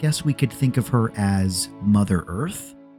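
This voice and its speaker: A man talks at a moderate pace in a fairly low voice with lively intonation. Music plays in the background. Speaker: lore video narrator. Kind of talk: educational lore commentary. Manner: soft-spoken, light-hearted.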